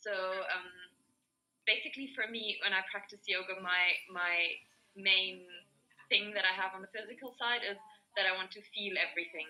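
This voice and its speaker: Speaking with a German accent at a moderate pace, a woman uses fairly even intonation, big swings in loudness and long, frequent pauses. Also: medium pitch for a woman. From Germany. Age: 20s. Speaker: yoga teacher. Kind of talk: group video call discussion. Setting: video call.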